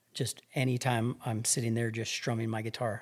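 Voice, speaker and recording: A man talks with a medium pitch and a somewhat breathy voice. The recording is very clean, with a silent background. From New Mexico, Albuquerque. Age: 40s. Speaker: hunting guide. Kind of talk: casual interview.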